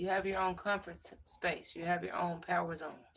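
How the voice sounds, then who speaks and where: A woman speaks at a fairly low pitch. Her voice has vocal fry. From Louisville, Kentucky. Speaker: fitness instructor. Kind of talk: casual chat with live stream viewers. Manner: relaxed, conversational.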